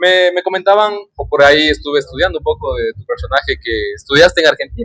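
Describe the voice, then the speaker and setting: The delivery is animated and fairly quick. The sound is dry and close, with no echo. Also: man. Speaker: podcast host. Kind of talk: casual chat.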